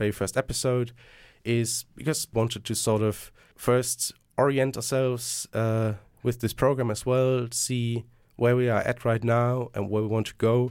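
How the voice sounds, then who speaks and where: A man with a German accent, medium in pitch, at a moderate pace in a monotone, flat delivery, on a very clean recording with a silent background. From Germany. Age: 20s. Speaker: student podcast host. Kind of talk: casual podcast discussion. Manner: hesitant, repeats words.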